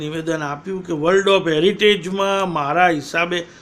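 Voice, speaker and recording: Against noticeable background noise, a man with a high pitch speaks with fairly even intonation. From Patan, north Gujarat, India. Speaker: political commentator. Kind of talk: political monologue. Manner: combative.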